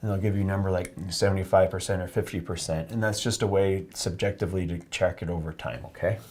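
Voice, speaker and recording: The soft-spoken, somewhat breathy voice races along at a very fast pace with hardly any pauses. Its intonation is fairly even. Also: man, very deep, low pitch for a man. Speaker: oculofacial plastic surgeon demonstrating an exam. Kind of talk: medical teaching demonstration to a patient. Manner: soft-spoken, calm, explanatory.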